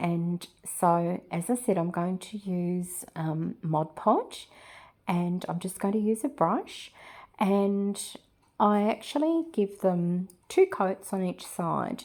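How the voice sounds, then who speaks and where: A woman with an Australian accent speaks at a very slow pace. Her pitch variation is ordinary. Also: medium pitch for a woman, very clean recording, silent background. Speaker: resin and mixed media artist. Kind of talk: craft tutorial voiceover. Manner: hesitant, many filler words.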